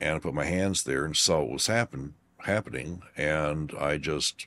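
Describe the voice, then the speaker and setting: A man's very deep, low voice with vocal fry, at a fairly slow pace. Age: 60s. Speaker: psychic healer and explorer. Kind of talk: casual interview chat.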